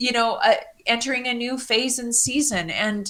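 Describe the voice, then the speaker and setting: A woman speaks in a high, bright, sharp voice. Her pace is fairly slow. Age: 50s. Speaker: public speaker and author. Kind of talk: casual chat.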